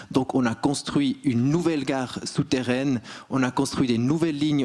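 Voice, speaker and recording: The man's voice sits at a medium pitch. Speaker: railway manager. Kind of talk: conference talk.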